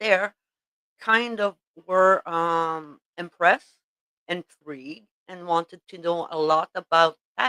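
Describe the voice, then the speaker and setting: In a dry, close recording with no echo, a woman speaks very slowly in a fairly low pitch with a bright, sharp tone. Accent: French Canadian. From Quebec. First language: French. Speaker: tatting teacher. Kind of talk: casual chat. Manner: halting, many fillers.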